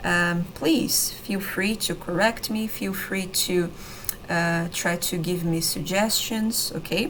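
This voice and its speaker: Speaking very slowly with a Brazilian accent, a woman uses a medium pitch and ordinary pitch variation, with noticeable background noise and audible room echo. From Brazil, São Paulo state countryside. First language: Brazilian Portuguese. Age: 30s. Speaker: language teacher. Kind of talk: online lesson / tutorial. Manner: hesitant, many fillers and repetitions.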